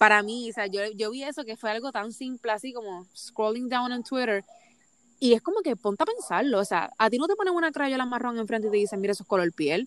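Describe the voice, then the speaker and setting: A woman speaks at a fairly high pitch and a fairly quick pace with lively intonation, the sound dry and close with no echo. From Puerto Rico. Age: 20s. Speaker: psychology student and blogger. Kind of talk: casual interview chat.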